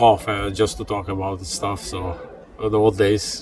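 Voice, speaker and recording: Over music in the background, a man with an Albanian accent speaks at a moderate pace with a fairly low pitch and fairly even intonation. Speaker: steelworker and hockey parent. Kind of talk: interview.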